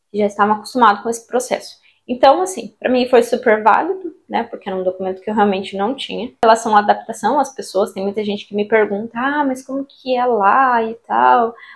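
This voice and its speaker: With a Brazilian accent, a woman talks at a fairly high pitch with ordinary pitch variation and hardly any pauses. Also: fairly quick pace. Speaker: vlogger, recent immigrant. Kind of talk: casual vlog talk to camera.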